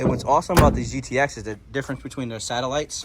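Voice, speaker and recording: Speaking with an American accent, a man uses a medium pitch with ordinary pitch variation. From Upstate New York. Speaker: car enthusiast YouTuber. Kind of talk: casual show-and-tell walkthrough.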